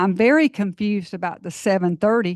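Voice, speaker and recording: A woman speaks with a Georgia accent at a medium pitch and ordinary pitch variation. The sound is dry and close with no echo over a quiet background. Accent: US Southern (Georgia). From Georgia, Forest Park area. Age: 60s. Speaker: resident speaking at public comment. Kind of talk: public comment at council meeting. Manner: halting.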